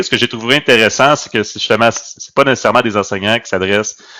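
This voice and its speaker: A man's bright, sharp tone with ordinary pitch variation. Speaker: teacher, podcast co-host. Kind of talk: casual chat. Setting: video call.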